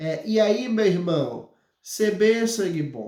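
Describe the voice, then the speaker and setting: A man's put-on character voice, high-pitched, guttural, raspy and hissing, at a very slow pace. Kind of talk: casual street slang.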